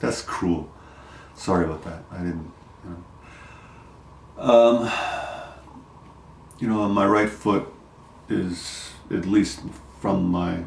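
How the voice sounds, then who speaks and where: A man with a very deep, low voice speaks at a very slow pace with long, frequent pauses and fairly even intonation, while noticeable background noise and audible room echo fill the recording. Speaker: vlogger sharing health update. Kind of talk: personal video diary. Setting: at home. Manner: halting, many fillers.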